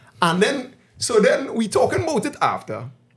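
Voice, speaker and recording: Very wide pitch swings mark this voice with a Trinidadian accent. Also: man. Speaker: podcast host. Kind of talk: casual chat.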